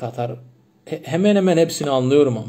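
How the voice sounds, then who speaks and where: A man's fairly high voice with a Turkmen accent at a moderate pace. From Turkmenistan. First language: Turkmen (speaking Turkish). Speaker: livestream host, language enthusiast. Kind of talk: casual livestream chat answering comments. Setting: Instagram live stream. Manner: halting, many false starts.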